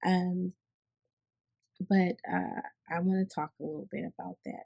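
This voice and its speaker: A woman with an American accent speaks at a fairly slow pace and a fairly low pitch. Her tone is dark and mellow, and the sound is dry and close with no echo. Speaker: healthcare worker and vlogger. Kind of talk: unscripted personal talk with teaching. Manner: hesitant, many fillers and restarts.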